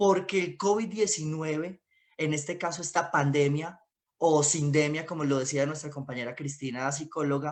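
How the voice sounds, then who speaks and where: With a normal speaking voice, a man delivers his words in a fairly high pitch, at a moderate pace and with ordinary pitch variation. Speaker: independent communicator. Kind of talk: panel discussion talk.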